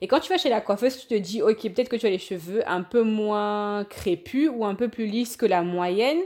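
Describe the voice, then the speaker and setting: A plain, everyday voice from a woman, fairly high in pitch with ordinary pitch variation, at a moderate pace with hardly any pauses and big swings in loudness. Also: very clean recording, silent background. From Cameroon, Yaoundé. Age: 30s. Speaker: podcast guest. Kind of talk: casual chat.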